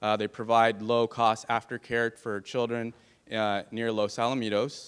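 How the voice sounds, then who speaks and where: Recorded very cleanly against a silent background, a man talks at medium pitch with an American accent. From California, San Fernando Valley. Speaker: political candidate. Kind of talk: campaign speech. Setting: stage with audience.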